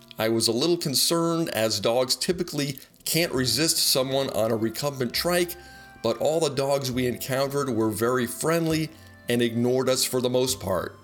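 Music in the background behind a man's moderate pace and ordinary pitch variation. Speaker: trip narrator. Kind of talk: travel narration.

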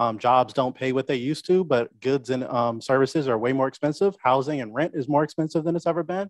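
A man's very fast delivery with hardly any pauses, dry with no echo, over a quiet background. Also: ordinary pitch variation. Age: young. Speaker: talk show co-host. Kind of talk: panel discussion. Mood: serious, thoughtful. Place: home room. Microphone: studio mic.

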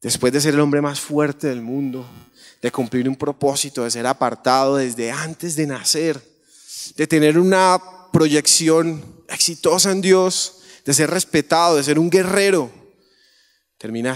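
Fairly high-pitched male speech, animated in tone and fairly slow, with long, frequent pauses, ordinary pitch variation and a quiet background. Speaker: preacher. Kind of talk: sermon to a youth congregation. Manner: animated, conversational preacher, acting out dialogues and pleading with the audience. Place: church. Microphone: handheld.

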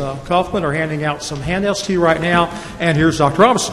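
Over light background noise, a man with an ordinary speaking voice talks at a fairly quick pace, fairly high in pitch, with fairly even intonation. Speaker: school finance officer; council presenter. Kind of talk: presentation. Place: meeting room.

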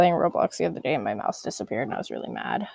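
A woman's fairly low voice with vocal fry at a very fast pace, dry and close with no echo. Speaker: gaming youtuber. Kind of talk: let's play commentary. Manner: animated.

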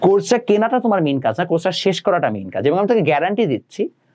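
Very wide pitch swings run through a voice with a dark, mellow tone. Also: man. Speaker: online ICT tutor. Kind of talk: educational talk to students. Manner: casual, mixes English words.

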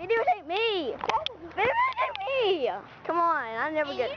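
Over loud background noise, a woman puts on a whiny character voice at an extremely high pitch. Her pitch swings very wide at a moderate pace. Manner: pleading.

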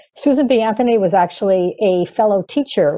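A woman speaks at a moderate pace in a dark, mellow tone. The background is quiet. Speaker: author. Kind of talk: interview. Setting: video call. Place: home room. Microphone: earbuds.

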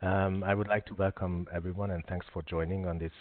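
The sound is dry, with no echo. The pace is fairly quick. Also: man. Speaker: webinar host. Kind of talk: webinar introduction. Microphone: video call.

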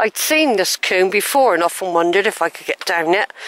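With a dry, close sound and no echo, a woman speaks at a moderate pace in a medium pitch, her tone fairly bright and her intonation lively.

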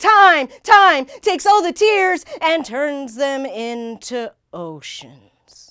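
A woman with an American accent speaks in a raised, projected voice with a bright, sharp tone, her high pitch making very wide swings and her loudness shifting greatly, at a very slow pace with hardly any pauses. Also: quiet background. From United States. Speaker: war veteran and poet. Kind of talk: spoken word poetry performance. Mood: angry, pained. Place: studio. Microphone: lapel.

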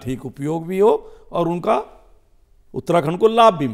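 A man talks with lively intonation, the background quiet behind him. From India, Dehradun, Uttarakhand; Uttarakhand, India. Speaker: politician. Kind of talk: interview. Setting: studio. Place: studio. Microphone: lapel.

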